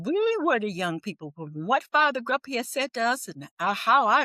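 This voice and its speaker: A woman speaks high with very wide pitch swings and a bright, sharp tone, in an American accent. The sound is dry and close, with no echo. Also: very clean recording, silent background. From US Midwest, Milwaukee. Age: 70s. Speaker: retired teacher and civil rights activist. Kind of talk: interview. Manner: animated; halting, with frequent restarts.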